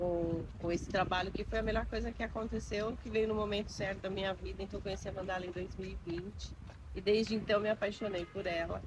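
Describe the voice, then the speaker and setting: The recording has audible room echo. A woman speaks fairly quickly in it. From Osasco, São Paulo, Brazil. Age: 50s. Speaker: mandala artist. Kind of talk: documentary interview.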